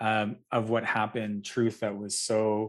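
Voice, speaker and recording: A man talks with a fairly low pitch. The background is quiet. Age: 40s. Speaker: festival director, interviewer. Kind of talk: interview conversation. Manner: halting, many repetitions.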